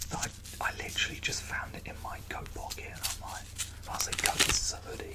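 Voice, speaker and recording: A whisper moves at a fairly quick pace over noticeable background noise. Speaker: ASMR creator. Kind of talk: ASMR casual ramble to camera. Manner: whispered; silly, laughing at times.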